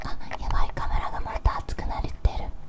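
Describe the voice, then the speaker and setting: Whispering and soft-spoken, a woman keeps a moderate pace. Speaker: ASMR creator. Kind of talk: casual aside while recording ASMR. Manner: soft close whisper into recorder. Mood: mildly flustered aside. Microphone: handheld.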